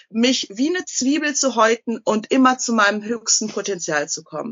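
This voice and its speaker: Here a woman talks at a moderate pace. Her voice is high-pitched with lively intonation. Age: 30s. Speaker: TV shopping presenter and author. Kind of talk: interview.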